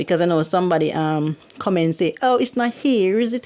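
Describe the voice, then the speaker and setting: A woman speaks in a Jamaican accent at a medium pitch. Her intonation is lively. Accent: Jamaican, can't pronounce H and Y. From Jamaica, Kingston. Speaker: YouTuber. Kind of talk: casual vlog talk. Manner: animated.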